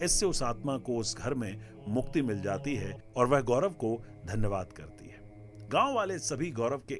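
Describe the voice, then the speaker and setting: Music plays in the background as a man speaks in a medium-pitched voice. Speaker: radio jockey and storyteller. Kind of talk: live musical storytelling, horror story narration. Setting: studio with live keyboard music.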